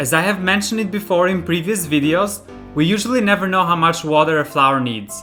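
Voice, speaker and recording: A man's voice with very wide pitch swings at a moderate pace, with music in the background. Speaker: home cook, recipe video host. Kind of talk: recipe tutorial narration.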